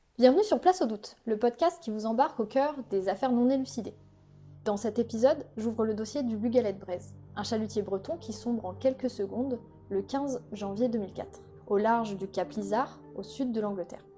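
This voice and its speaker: Over music in the background, a woman speaks at a moderate pace with a fairly high pitch and ordinary pitch variation. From Brittany, Finistère. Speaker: podcast host. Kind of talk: scripted narration.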